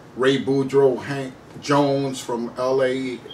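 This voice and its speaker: Noticeable background noise and audible room echo fill the recording. Through them, a man speaks at a medium pitch. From Puerto Rico. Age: 60s. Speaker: activist and war veteran. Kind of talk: interview.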